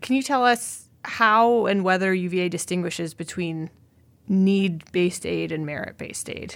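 A woman of medium pitch uses a plain, everyday voice with ordinary pitch variation at a moderate pace. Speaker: admissions dean, podcast host. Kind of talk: casual interview.

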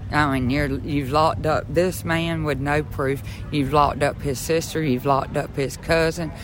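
A Southern US accent at a moderate pace over noticeable background noise. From rural southeast Georgia. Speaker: activist supporter. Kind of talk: interview.

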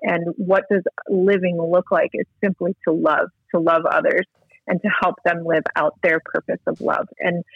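A normal speaking voice at a fairly slow pace. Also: woman. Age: 40s. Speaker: guest speaker sharing life story. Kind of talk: interview testimony. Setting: phone call.

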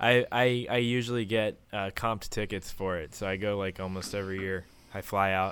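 A man with an American accent speaks at a moderate pace in a plain, everyday voice, fairly low in pitch, with fairly even intonation. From US, Maryland. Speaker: podcast host and music producer. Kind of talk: casual chat.

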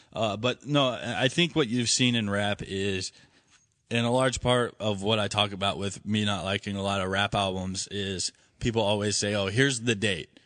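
A normal speaking voice at a moderate pace, with ordinary pitch variation and a quiet background. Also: man, fairly low pitch for a man. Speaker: podcast co-host. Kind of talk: casual banter podcast. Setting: studio.

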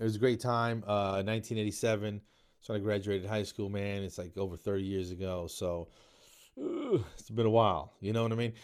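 On a very clean recording with a silent background, a man with an American accent speaks at a moderate pace, his fairly low pitch paired with fairly even intonation. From New Jersey, US. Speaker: podcast host and comedian. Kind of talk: casual monologue. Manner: frequent fillers (um, uh).

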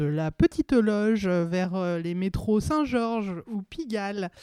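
A woman speaks at a very slow pace, her voice dry and close with no echo, on a very clean recording with a silent background. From Seine-et-Marne, Île-de-France. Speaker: comedian. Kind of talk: casual chat.

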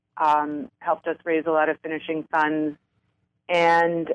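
A woman with an American accent speaks at a fairly low pitch in a dry, close sound with no echo. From New York City. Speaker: filmmaker. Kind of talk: interview. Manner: halting, many fillers.

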